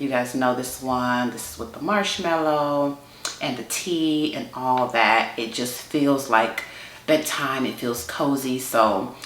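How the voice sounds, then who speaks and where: Very slow and very deep in pitch, a woman with an American accent speaks with ordinary pitch variation amid audible room echo and noticeable background noise. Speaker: beauty YouTuber. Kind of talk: casual chat.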